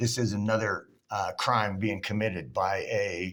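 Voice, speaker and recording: A very clean recording with a silent background carries a voice with ordinary pitch variation. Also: man. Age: 60s. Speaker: citizen journalist commenting on police video. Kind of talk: commentary over a played video. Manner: halting.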